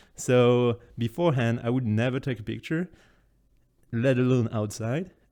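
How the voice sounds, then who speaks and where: Speaking at a fairly slow pace, a man talks with a French accent. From France. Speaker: content creator presenting travel photos. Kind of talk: casual presentation. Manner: halting, many fillers.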